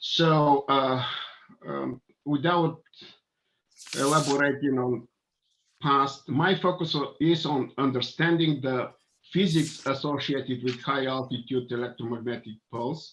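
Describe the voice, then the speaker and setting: Speaking with a Bulgarian accent, a man with a fairly high pitch talks at a fairly slow pace with fairly even intonation and long, frequent pauses. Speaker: engineer and scientist. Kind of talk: panel presentation.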